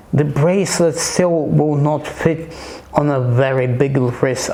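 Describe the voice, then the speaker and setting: A man's fairly high voice at a very slow pace with a non-native accent and fairly even intonation, amid noticeable background noise and audible room echo. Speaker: watch reviewer. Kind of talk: casual product review. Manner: halting, many repetitions.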